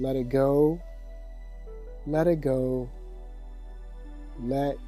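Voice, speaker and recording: A man speaks in a calm, soothing tone with long, frequent pauses. Music plays in the background. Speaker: meditation teacher. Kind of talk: guided sleep meditation. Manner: calm, slow, soothing.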